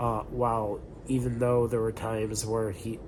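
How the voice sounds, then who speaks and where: Against noticeable background noise, a man speaks at a medium pitch. His pace is very slow. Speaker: film reviewer. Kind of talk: casual talk to camera. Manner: hesitant, filler-heavy.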